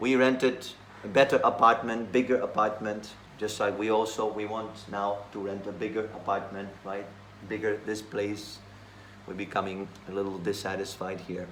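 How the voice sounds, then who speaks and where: A man's fairly low pitch at a moderate pace, monotone and flat in intonation, with a Slovak accent and audible room echo. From Slovakia. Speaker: monk. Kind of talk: scripture class.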